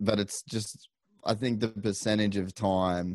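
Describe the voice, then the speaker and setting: Against a quiet background, a man with an Australian accent speaks very deep and low at a fairly slow pace, the sound dry and close with no echo. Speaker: podcaster and motocross racer. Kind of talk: casual interview chat. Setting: remote call.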